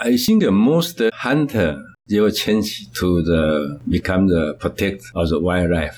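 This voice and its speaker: A man's very deep, low voice with a Taiwanese accent, lively intonation, very even loudness and a very slow pace, on a very clean recording with a silent background. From Taiwan, Kaohsiung. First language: Mandarin or Taiwanese. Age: 70s. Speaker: conservation society founder. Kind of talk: interview. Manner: halting.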